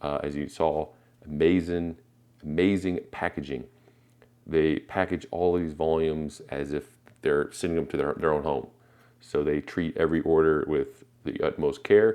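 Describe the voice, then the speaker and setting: Very deep, low male voice with a dark, mellow tone and fairly even intonation. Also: moderate pace. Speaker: comic book collector YouTuber. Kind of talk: casual unboxing video. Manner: casual with fillers.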